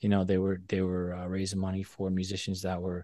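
In a very clean recording with a silent background and a dry, close sound with no echo, a man with a fairly low pitch and an American accent speaks at a fairly quick pace in a plain, everyday voice. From Boston. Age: 40s. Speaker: cymbal maker. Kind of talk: interview.

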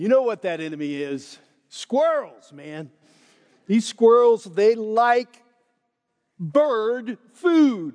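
Very slow delivery with very wide pitch swings and long, frequent pauses. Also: man, high pitch for a man. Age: 60s. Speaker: pastor. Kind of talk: sermon. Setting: church.

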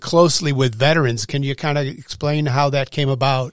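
A man's normal speaking voice, fairly high in pitch, at a fairly quick pace. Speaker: podcast co-host. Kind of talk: interview. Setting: studio.

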